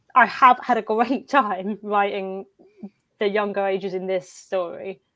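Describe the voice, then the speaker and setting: A woman with an English accent, fairly even intonation, and a fairly slow pace. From England. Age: 30s. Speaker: fanfiction author. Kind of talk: casual chat. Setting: live video stream. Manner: halting.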